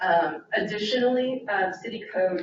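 A woman speaks loudly with ordinary pitch variation in a room with audible echo. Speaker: deputy city attorney and prosecutor. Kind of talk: presentation to city council. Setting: city council meeting.

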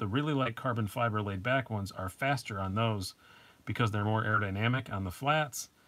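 Recorded very cleanly against a silent background, a man with an American accent speaks in a fairly low pitch with ordinary pitch variation. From upstate New York. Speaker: knife review channel host. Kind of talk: casual live stream chat. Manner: casual, frequent fillers and repetitions.

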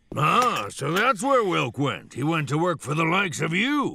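In a put-on character voice, the speaker sounds gruff, moving at a moderate pace with very wide pitch swings. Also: man, high pitch for a man. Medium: cartoon. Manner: gruff, strict, sarcastic.

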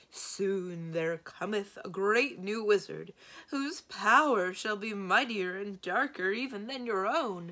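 A fairly slow pace marks the delivery of this put-on character voice. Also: female-sounding voice, medium pitch for a woman. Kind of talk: posh. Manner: grand, solemn, portentous.

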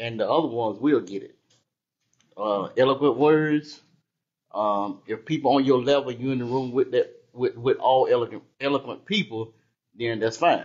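Long, frequent pauses break up a man's moderate pace. His voice sits at a medium pitch with ordinary pitch variation. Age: 60s. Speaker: church member. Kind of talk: casual comment in class. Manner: halting.

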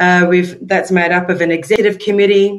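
Against a quiet background, a woman speaks in a monotone with flat intonation. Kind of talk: presentation talk. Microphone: webcam.

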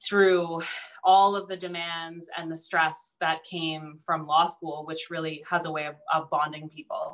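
A woman with a plain, everyday voice and a Canadian accent speaks at a moderate pace, her pitch fairly low. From Southern Ontario. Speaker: lawyer and banker. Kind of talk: panel discussion. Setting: video call.

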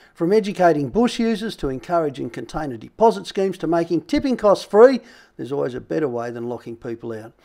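A man at a fairly quick pace with very wide pitch swings, in a very clean recording with a silent background. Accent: Australian. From Australia. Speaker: outdoors activist. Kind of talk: advocacy address to camera. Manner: passionate.

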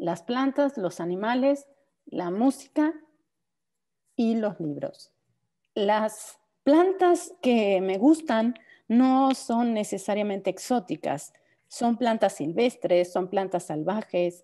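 At a very slow pace with long, frequent pauses, a woman with a dark, mellow tone and a fairly high pitch makes very wide pitch swings. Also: quiet background. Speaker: typography researcher and historian. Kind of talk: presentation.

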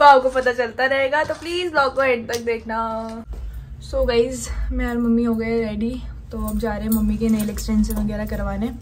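A woman talks at a moderate speed with light background noise underneath. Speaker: vlogger. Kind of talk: casual vlog chat. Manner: soft-spoken. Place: home room. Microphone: phone near.

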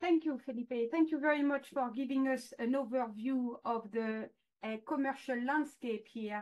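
A woman talks with a high pitch at a moderate pace. Her intonation is fairly even, and the background is quiet. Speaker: food product development expert. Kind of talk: webinar presentation. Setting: video call. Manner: formal.

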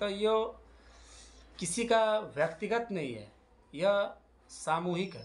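Speaking at a fairly slow pace, a man lets his pitch vary in an ordinary way. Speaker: exam update vlogger. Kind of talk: casual vlog chat. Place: home room. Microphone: phone near.

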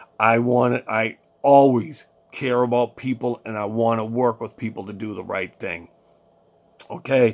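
A man at a fairly slow pace with fairly even intonation. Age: 40s. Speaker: financial coach, podcast host; financial advice vlogger. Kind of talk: solo monologue, financial advice; casual advice talk to camera. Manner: casual, halting with frequent fillers and repeats. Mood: earnest, persuasive. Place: home room. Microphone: webcam.

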